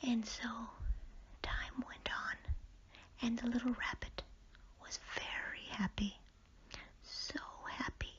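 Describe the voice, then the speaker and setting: Whispering, a woman goes at a very slow pace. Long pauses come often in her speech. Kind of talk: bedtime story reading. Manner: whispered; soft-spoken, slow.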